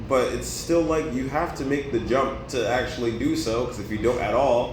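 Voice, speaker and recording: Amid noticeable background noise and audible room echo, a man speaks in an animated tone with ordinary pitch variation. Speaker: former esports player. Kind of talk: casual interview. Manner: loud.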